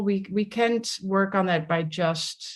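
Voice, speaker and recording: A woman speaks with a Dutch accent and ordinary pitch variation. The background is quiet. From Netherlands, village near The Hague. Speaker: somatics leadership coach. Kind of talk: interview conversation.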